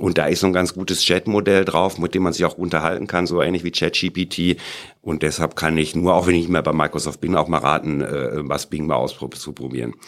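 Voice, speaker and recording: A man talks at a very deep, low pitch with vocal fry. His pace is fairly quick and his intonation fairly even. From Sauerland, western Germany. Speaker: entrepreneur and university professor. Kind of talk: interview.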